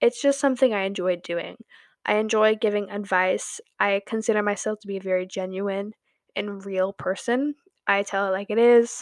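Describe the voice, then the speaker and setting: Over a quiet background, a woman speaks at medium pitch with fairly even intonation, the sound dry and close with no echo. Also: moderate pace. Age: 20s. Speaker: podcast host. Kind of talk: casual monologue. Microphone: new microphone.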